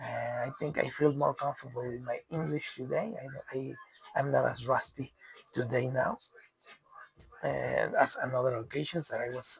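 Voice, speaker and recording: Noticeable background noise beneath moderately paced speech. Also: man. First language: Spanish. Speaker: commentator on world news. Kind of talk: solo monologue. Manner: halting, many repetitions and fillers.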